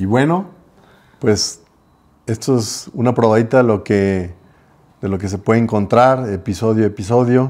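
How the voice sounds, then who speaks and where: A man at medium pitch, with ordinary pitch variation, a moderate pace and long, frequent pauses. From Guadalajara, Mexico. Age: 50s. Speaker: podcast co-host, business owner; podcast co-host. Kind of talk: casual chat. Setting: home. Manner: hesitant, many fillers. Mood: calm, sincere. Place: home room. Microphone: lapel.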